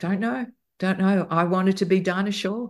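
A woman speaks in an Australian accent at a moderate pace with ordinary pitch variation. The background is quiet. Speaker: broadcaster and music podcaster. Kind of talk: casual interview chat. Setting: video call.

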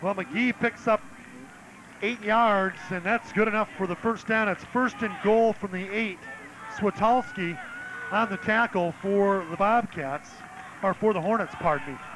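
Over noticeable background noise, a high-pitched man speaks at a fairly slow pace with ordinary pitch variation, long, frequent pauses and a dry sound with no echo. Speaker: play-by-play announcer. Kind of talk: live sports play-by-play commentary. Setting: press box at stadium.

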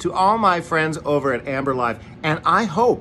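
Lively intonation marks this man's speech at a moderate pace. Light background noise is present. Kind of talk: casual promotional greeting. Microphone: phone near.

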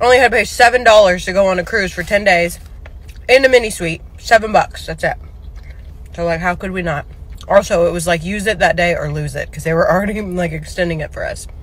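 With big swings in loudness, a woman talks at a fairly quick pace in a dry sound with no echo. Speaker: vlogger. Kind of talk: casual vlog chat. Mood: relaxed, chatty. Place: car. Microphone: phone near.

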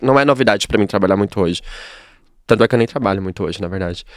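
The man's intonation is lively. The sound is dry with no echo, and the background is quiet. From São Paulo, Capão Redondo; São Paulo. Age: 30s. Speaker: hairdresser; podcast guest. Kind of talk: casual interview chat. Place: studio. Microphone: studio mic.

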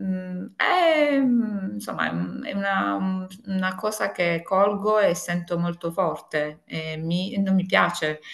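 Quiet surrounds the recording. The woman talks at a very slow pace. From Apulia, southern Italy. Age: 50s. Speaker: tax consultant and home organizing consultant; interview guest. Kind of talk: interview. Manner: halting, many fillers. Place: home room. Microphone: video call.

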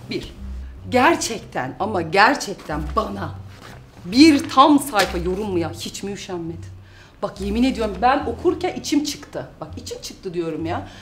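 A woman speaks at a fairly slow pace with big swings in loudness. Light background noise can be heard. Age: 30s. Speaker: YouTuber and mother; YouTuber. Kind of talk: casual vlog, reading out and answering comments. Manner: animated. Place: office.

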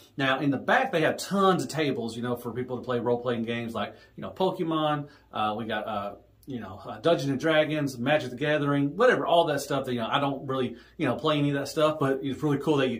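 A man rattles along at a very fast pace, his pitch variation ordinary. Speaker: toy collector vlogger. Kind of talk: casual vlog chat. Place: home room.

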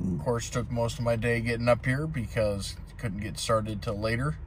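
Recorded dry with no echo, a man speaks against noticeable background noise. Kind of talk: casual vlog chat. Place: car. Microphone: phone near.

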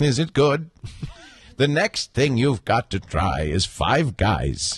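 With vocal fry and very wide pitch swings around a medium pitch, a man speaks at a very slow pace and very even loudness in a dry, close sound with no echo. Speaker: podcast host. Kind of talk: casual banter in live podcast pre-show. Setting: live studio broadcast.

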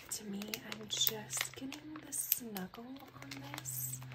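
A soft-spoken woman whispers over loud background noise. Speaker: ASMR content creator. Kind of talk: casual talk to camera, product haul review. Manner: soft-spoken, whispery. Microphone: phone near.

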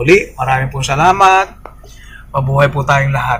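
Moderately paced male speech with normal pitch movement. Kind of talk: casual vlog retelling a homily. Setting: outdoors at church parking area. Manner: halting, many fillers.

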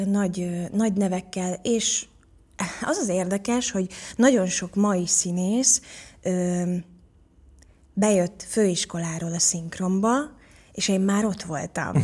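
At a very slow pace, a woman speaks in a dark, mellow tone. Her intonation is fairly even, broken by long, frequent pauses. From Hungary. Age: 40s. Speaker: actress and voice actor. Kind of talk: interview answer. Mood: reflective, warm storytelling. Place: studio. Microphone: studio mic.

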